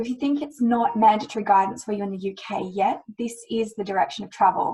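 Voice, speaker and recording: In an Australian accent, a woman talks at a very fast pace with fairly high pitch and ordinary pitch variation. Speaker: climate risk lawyer. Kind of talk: webinar presentation. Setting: webinar.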